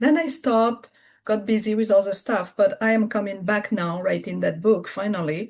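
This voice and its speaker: Speaking in a French accent, a woman talks at a moderate pace with fairly high pitch and ordinary pitch variation. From France. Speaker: spiritual business coach. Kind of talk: interview conversation. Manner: halting.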